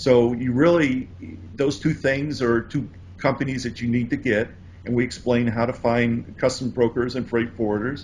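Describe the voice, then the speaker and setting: A man with an American accent speaks at a moderate pace in a somewhat breathy voice, his intonation fairly even. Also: medium pitch for a man. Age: 60s. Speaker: importing course author. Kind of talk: interview.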